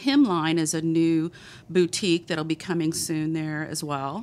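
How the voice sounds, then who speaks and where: A woman reads at a moderate pace and a fairly low pitch with fairly even intonation. The recording is very clean, with a silent background. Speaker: city economic development director. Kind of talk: casual chat. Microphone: mic too close to her face.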